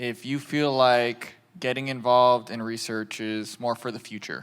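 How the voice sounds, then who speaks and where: A man with an American accent has an ordinary speaking voice and medium pitch, talking at a fairly slow pace. The recording is very clean, with a silent background. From US. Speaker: patient advocacy manager, panel moderator. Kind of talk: panel discussion.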